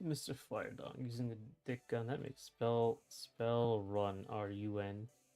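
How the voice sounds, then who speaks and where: Music plays in the background. A man of medium pitch talks at a fairly slow pace. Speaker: game developer streamer. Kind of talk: livestream reading chat aloud. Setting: livestream. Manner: animated.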